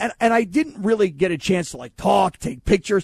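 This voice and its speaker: A man's pitch varies in an ordinary way. The sound is dry and close with no echo, against a quiet background. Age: 40s. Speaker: sports radio host. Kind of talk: casual sports radio chat. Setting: radio studio.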